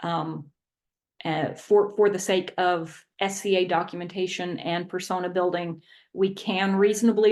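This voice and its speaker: Against a quiet background, a woman speaks at a medium pitch. Her pace is moderate and her intonation fairly even. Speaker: history presenter. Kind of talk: lecture. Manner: halting, many fillers.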